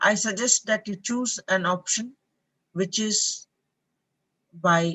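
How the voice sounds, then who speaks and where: Lively intonation marks this woman's speech, delivered in an Indian accent. Her fairly high voice moves at a very slow pace. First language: an Indian language. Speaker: professor. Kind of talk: online lecture Q&A. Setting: live online session.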